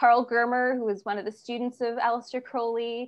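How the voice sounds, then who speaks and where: Quiet surrounds the speaker. She is a woman. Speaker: class instructor. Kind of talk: lecture introduction. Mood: enthusiastic, occasional laughs. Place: home room. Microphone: video call.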